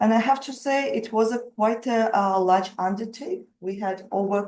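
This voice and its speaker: A woman talks in a strong Russian accent. Her pitch is fairly high, with ordinary variation. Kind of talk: webinar presentation. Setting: video call webinar.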